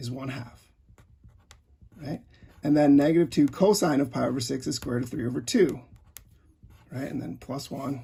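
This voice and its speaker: A man's voice sits fairly high in pitch and sounds somewhat breathy. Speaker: math teacher. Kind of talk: tutorial. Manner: fast.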